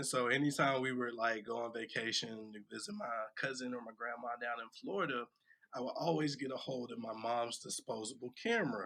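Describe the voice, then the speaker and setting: A man with a medium-pitched voice speaks at a fairly quick pace, his tone bright and sharp, his pitch varying in an ordinary way. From US South, Atlanta, Georgia. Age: 30s. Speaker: cinematographer and photographer. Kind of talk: podcast interview.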